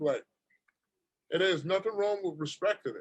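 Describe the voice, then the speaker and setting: A man talks in a New York accent. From Brooklyn, New York. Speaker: rapper. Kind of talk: casual chat.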